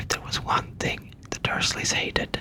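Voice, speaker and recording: Someone whispers over noticeable background noise. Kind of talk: whispered audiobook reading. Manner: whispered.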